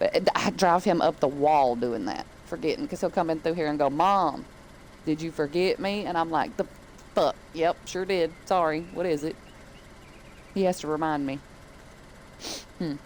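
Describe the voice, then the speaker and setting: In a Southern US accent, a woman with a fairly low pitch speaks in an animated tone at a moderate pace, with ordinary pitch variation and long, frequent pauses. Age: 30s. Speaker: gaming streamer. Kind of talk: casual chat. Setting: live stream.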